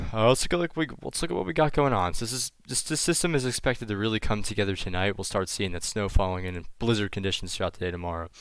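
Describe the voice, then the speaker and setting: Over a very clean recording with a silent background, a man with a fairly low pitch speaks at a very fast pace with lively intonation. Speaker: weather vlogger. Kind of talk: casual weather forecast commentary. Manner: subdued, sounds sad; halting, many fillers.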